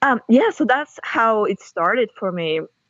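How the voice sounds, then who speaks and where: A woman speaks with a Russian accent. The sound is dry and close with no echo, and the background is quiet. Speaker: author and university lecturer. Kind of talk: podcast interview.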